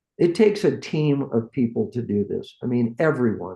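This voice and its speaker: With an American accent and an unremarkable speaking voice, a man talks at a fairly slow pace and a fairly high pitch. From San Francisco Bay Area, California. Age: 60s. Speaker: hot rod builder, shop owner. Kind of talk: casual interview chat.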